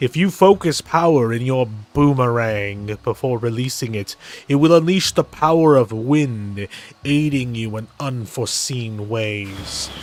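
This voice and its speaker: A man speaks at a moderate pace in a put-on character voice with a medium pitch. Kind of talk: game dialogue read aloud by a player. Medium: game stream. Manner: formal, solemn.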